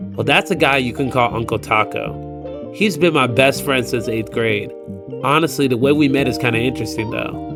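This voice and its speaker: A man of medium pitch speaks at a moderate pace with very wide pitch swings. Music plays in the background. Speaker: voice actor. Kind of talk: personal storytelling narration. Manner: casual, conversational.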